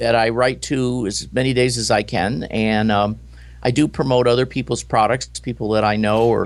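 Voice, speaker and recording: A man delivers his words fairly quickly in a medium pitch. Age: 60s. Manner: halting.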